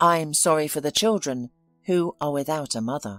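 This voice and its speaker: A put-on character voice sits at a middle pitch. Faint music plays in the background. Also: moderate pace. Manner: emotionless.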